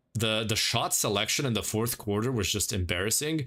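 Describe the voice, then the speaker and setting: A man's fairly low voice, bright and sharp in tone, with ordinary pitch variation and a fairly quick pace, on a very clean recording with a silent background. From Croatia. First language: Croatian. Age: 20s. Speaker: gaming streamer. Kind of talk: casual chat. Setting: livestream.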